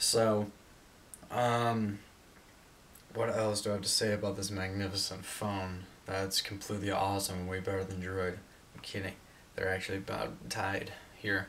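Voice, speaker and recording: With long, frequent pauses, a man speaks in a fairly low pitch. His intonation is monotone and flat, over light background noise. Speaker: tech reviewer. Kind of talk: casual review vlog. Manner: fast. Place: home room. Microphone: camera far.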